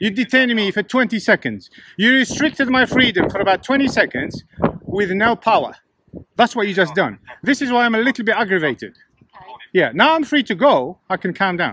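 Projecting his voice, a man speaks at a fairly quick pace in a high pitch, his tone bright and sharp, his intonation lively, the sound dry with no echo over light background noise. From England. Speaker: YouTuber filming police encounters. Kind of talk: confrontational street filming. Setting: outdoors, windy. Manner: sarcastic, combative. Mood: aggravated, confrontational. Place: street. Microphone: phone near.

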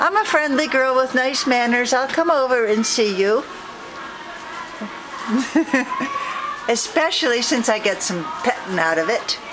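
Against noticeable background noise, a woman talks at a fairly slow pace in a high voice. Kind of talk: casual talk to a cat and viewers. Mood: warm, affectionate, laughing. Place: shop. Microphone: phone near.

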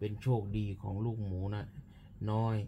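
The voice is soft-spoken, with a dark, mellow tone. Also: man. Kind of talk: bedtime story reading. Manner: soft, drowsy bedtime-story reading. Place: home room. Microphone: phone near.

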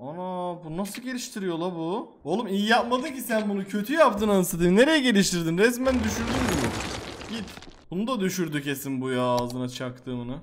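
Against light background noise, a man speaks at a high pitch with very wide pitch swings and hardly any pauses. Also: moderate pace. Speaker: gaming YouTuber; gaming streamer. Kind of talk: gameplay commentary. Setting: home recording. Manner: animated; loud. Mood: playful, mildly frustrated. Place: home room. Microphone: headset.

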